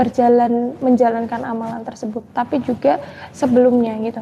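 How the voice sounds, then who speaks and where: Amid noticeable background noise, a woman with a high pitch talks at a fairly quick pace. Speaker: Islamic spiritual advisor. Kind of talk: live stream Q&A religious advice. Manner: soft-spoken.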